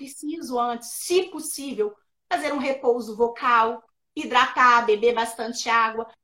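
At a fairly slow pace, a woman speaks in a high pitch with a bright, sharp tone and ordinary pitch variation. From Minas Gerais, Brazil. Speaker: speech therapist and educator. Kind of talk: interview. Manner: explanatory, didactic.

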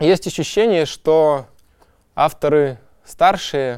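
A very clean recording with a silent background: a fairly high male voice, its pitch variation ordinary. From Kazakhstan, industrial city. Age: young. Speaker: poet. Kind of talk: interview monologue.

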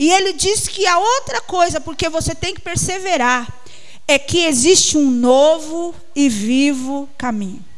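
A woman's high-pitched voice with lively intonation at a fairly slow pace, over noticeable background noise. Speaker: preacher. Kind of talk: sermon, preacher in full flow, urging and pleading with the congregation. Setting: church. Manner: fervent, emphatic, repeating words for stress.

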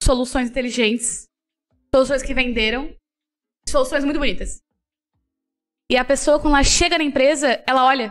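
A woman talks at a fairly quick pace in a high pitch, her intonation fairly even. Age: 20s. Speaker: designer and illustrator. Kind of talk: casual interview.

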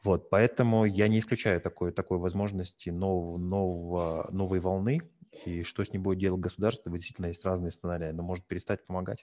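A man's very deep, low voice with a dark, mellow tone, a very fast pace and a quiet background. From Russia, North Caucasus (Nalchik). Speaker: investor group co-founder, host. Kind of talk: interview.

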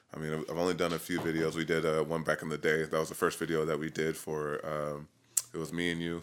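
Very fast and monotone with flat intonation, a man with an American accent speaks at a very deep, low pitch. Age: 30s. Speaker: hip hop artist. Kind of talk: casual chat. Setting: studio.

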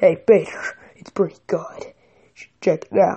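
Here is a put-on character voice. The delivery is at a fairly slow pace. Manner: gruff, cartoonish.

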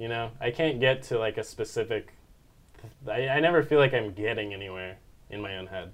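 His accent is American. The man's intonation moves in a lively way. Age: 20s. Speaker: college student and musician. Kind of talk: casual chat.

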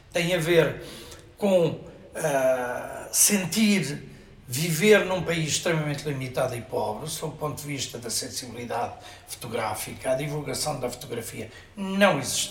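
A man with a fairly high pitch and lively intonation talks fairly slowly, with long, frequent pauses. Noticeable background noise and audible room echo fill the recording. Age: 70s. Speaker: photographer and arts festival director. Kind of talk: interview. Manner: halting.

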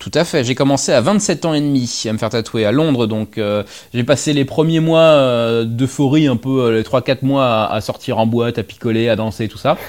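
Here is a man with a plain, everyday voice. He keeps a medium pitch, ordinary pitch variation and a moderate pace. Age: 30s. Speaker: primary school teacher. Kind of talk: casual interview chat.

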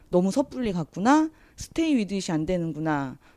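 This woman's voice has a dark, mellow tone. Her pitch swings very widely. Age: 30s. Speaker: counseling program guest. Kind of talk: casual conversation.

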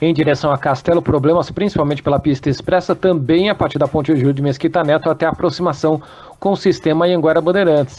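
A man at a very fast pace and fairly high pitch, fairly even intonation, music in the background. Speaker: traffic reporter. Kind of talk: traffic report reading.

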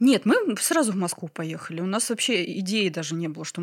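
With ordinary pitch variation, the woman's voice lies at a fairly low pitch. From Ryazan, Russia. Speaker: flower farmer. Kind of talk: casual interview chat.

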